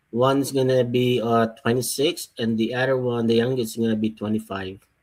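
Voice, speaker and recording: A man talks at a fairly quick pace and a medium pitch. His intonation is monotone and flat, and his loudness stays very even. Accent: Filipino. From Philippines, Iloilo. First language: Tagalog or Ilonggo. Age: 40s. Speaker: person giving testimony about a divorce case. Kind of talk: testimony. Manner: halting.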